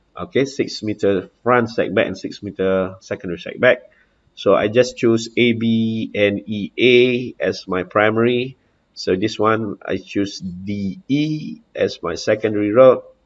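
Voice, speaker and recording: A man in a Malaysian accent talks at a fairly slow pace and a medium pitch, with ordinary pitch variation and a quiet background. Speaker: house contractor. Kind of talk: software demo walkthrough. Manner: halting, many fillers.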